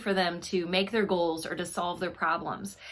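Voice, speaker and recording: A woman's voice over noticeable background noise. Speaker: children's book author and teacher. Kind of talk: tutorial. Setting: video at home.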